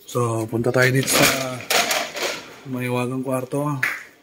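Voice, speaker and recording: A man talks at a medium pitch in a monotone, with flat intonation. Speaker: motorcycle DIY vlogger. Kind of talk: casual tutorial vlog.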